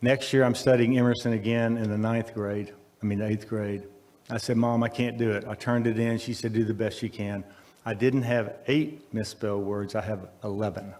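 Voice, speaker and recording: A man's medium-pitched voice with a Texan accent, monotone and flat, at a moderate pace. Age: 70s. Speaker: speaker at a college event. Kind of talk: speech at a ribbon cutting.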